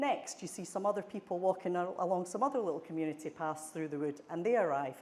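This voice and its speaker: A woman talks at a fairly quick pace. She has a fairly low pitch and ordinary pitch variation. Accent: Scottish. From Scotland. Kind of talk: conference presentation.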